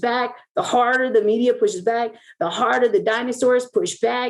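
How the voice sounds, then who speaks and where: The voice is loud and animated in tone. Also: woman. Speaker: interview guest. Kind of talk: casual chat.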